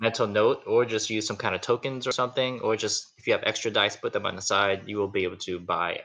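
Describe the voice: The reading aloud is plain, with pitch moving in an ordinary way.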